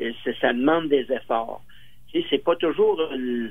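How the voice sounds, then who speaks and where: Speaking at a fairly slow pace, a man talks with a Quebec accent. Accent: Québécois French. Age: 80s+. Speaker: senior interviewee. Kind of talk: radio interview. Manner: halting.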